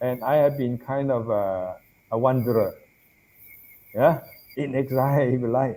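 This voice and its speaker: A man with a dark, mellow tone, fairly even intonation, a moderate pace and long, frequent pauses. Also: medium pitch for a man. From Malaysia. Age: 70s. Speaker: Buddhist monk and professor. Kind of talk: interview.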